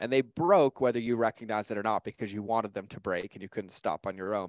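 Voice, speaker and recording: A man speaks in a normal speaking voice, fairly low in pitch, with ordinary pitch variation. The sound is dry and close with no echo, and the recording is very clean with a silent background. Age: 30s. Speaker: author and digital marketing expert. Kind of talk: interview, motivational talk.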